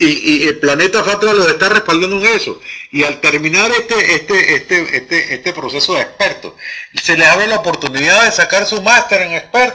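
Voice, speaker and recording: A man with a high pitch uses a raised, projected voice at a moderate pace, with ordinary pitch variation. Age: 70s. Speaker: online course tutor. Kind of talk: lecture. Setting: video conference. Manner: halting, with frequent repetitions.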